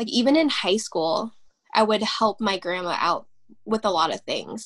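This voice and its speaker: Using lively intonation, a woman with an American accent speaks at a moderate pace and a fairly high pitch. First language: Vietnamese. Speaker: interviewee. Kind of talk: interview. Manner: halting, many fillers.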